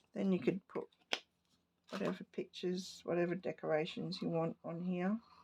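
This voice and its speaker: A woman speaks at a fairly slow pace in a medium pitch, her tone dark and mellow with vocal fry. Her intonation stays fairly even. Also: long, frequent pauses. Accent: Australian. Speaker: papercraft hobbyist. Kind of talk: crafting tutorial.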